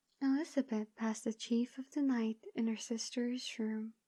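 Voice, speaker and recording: Soft-spoken and soothing, a woman talks at a moderate pace in a fairly high pitch with a dark, mellow tone and fairly even intonation, the sound dry and close with no echo. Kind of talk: audiobook reading. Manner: soothing, soft-spoken.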